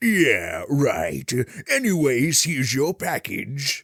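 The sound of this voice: In a put-on character voice, a man speaks at a very slow pace and a fairly high pitch on a very clean recording with a silent background.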